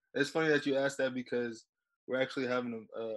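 This man speaks with an American accent. His intonation is fairly even. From San Diego, California. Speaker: college football player. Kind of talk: interview. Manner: halting, many fillers.

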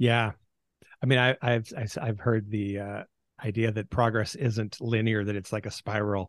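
A fairly low-pitched man with an American accent, moderate pace and monotone, flat intonation, in a dry, close sound with no echo and a quiet background. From US Pacific Northwest (Seattle area). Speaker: podcast co-host. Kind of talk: casual chat.

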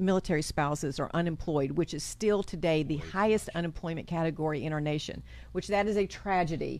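A woman's animated, upbeat voice in a Southern US accent, fairly low in pitch with ordinary pitch variation, at a fairly quick pace on a very clean recording with a silent background. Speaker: chamber of commerce co-host.

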